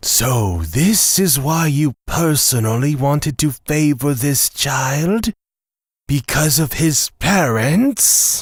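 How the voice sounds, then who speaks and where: A man's put-on character voice, fairly high in pitch, at a very slow pace. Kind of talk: audio drama.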